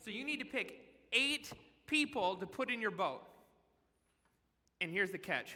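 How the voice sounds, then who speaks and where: Speaking at a moderate pace with long, frequent pauses, a man uses a high, raised, projected voice with a bright, sharp tone and lively intonation. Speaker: children's pastor. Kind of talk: sermon. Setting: church stage in the round with audience. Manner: loud; animated.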